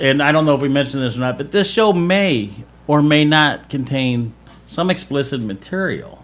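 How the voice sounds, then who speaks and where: Using lively intonation, a man with a fairly high pitch talks at a moderate pace. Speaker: radio show host. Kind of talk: casual radio chat.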